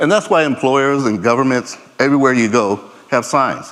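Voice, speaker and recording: Fairly quick speech from a man. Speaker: conference speaker, laser scanning specialist. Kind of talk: conference presentation. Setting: stage with audience. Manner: fast.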